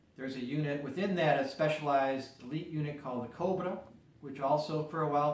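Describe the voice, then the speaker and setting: A man with an American accent talks at a very fast pace in a fairly high voice with fairly even intonation, over noticeable background noise and audible room echo. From US Midwest, Chicago area. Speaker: peace activist. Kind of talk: interview. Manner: measured, explanatory.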